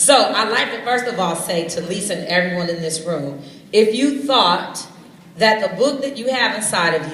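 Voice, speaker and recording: Against noticeable background noise and audible room echo, a woman speaks at a moderate pace with lively intonation. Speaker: youth program coordinator. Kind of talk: motivational stage speech. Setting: stage with audience. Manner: loud.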